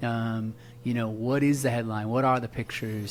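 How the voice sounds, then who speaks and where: A man speaks at a moderate pace in a medium-pitched voice. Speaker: marketing specialist. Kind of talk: casual interview. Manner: animated.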